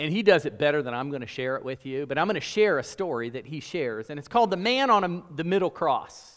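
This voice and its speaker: A man with an American accent talks at a very fast pace and fairly high pitch with hardly any pauses, his intonation lively and his loudness swinging widely. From US, mixed South and North. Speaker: preacher. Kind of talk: sermon. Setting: church.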